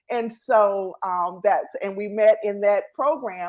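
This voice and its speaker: Speaking fairly slowly in a Southern US accent, a woman uses a medium pitch with ordinary pitch variation. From North Carolina, US South. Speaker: entrepreneur and show host, guest. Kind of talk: interview, casual chat.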